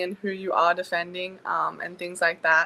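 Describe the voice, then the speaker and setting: A woman with an Australian accent speaks at a moderate pace and medium pitch, her bright, sharp tone held in a monotone, flat intonation on a very clean recording with a silent background. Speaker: college basketball player. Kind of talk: interview.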